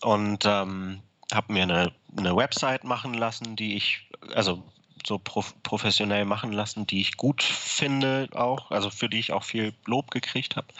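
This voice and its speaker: A man's fairly low voice keeps fairly even intonation at a moderate pace while noticeable background noise plays. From Hamburg, northern Germany. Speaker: guitar maker. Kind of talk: interview. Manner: halting, many filler words.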